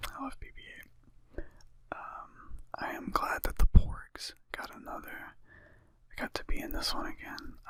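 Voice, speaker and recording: Whispering at a fairly slow pace, a man's voice shows big swings in loudness. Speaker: ASMR channel host who tells jokes and makes music. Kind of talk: ASMR movie review, casual talk to camera. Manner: casual, profane, conversational.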